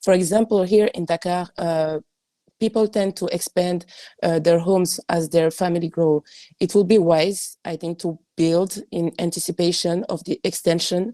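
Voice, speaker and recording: A woman with a non-native accent, fairly low in pitch, dark and mellow in tone, with fairly even intonation at a moderate pace, in a very clean recording with a silent background and a dry, close sound with no echo. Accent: non-native English speaker. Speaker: architect. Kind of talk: panel discussion, reading notes. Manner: halting.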